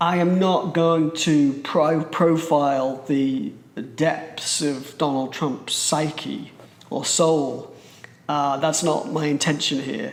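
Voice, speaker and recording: Very slowly and with fairly even intonation, a man speaks at a fairly high pitch in a British accent, with noticeable background noise and audible room echo. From Britain. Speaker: astrologer. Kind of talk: presentation.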